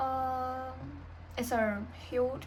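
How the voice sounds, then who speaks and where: Noticeable background noise and audible room echo surround a woman speaking with a Chinese accent. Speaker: vlogger. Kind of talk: personal vlog, unscripted. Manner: halting, with many pauses and fillers.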